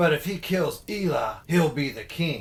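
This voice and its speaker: A man speaks in a put-on character voice pitched high. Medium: audio drama. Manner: blunt.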